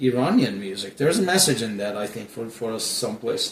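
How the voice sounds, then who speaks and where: A man is speaking. Noticeable background noise can be heard behind him. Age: 60s. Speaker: interviewer. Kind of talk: interview. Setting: at guest's house. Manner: halting.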